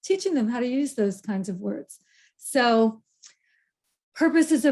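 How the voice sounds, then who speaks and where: A woman's somewhat breathy voice, fairly slow, with lively intonation. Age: 70s. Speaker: keynote speaker on aging. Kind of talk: keynote talk.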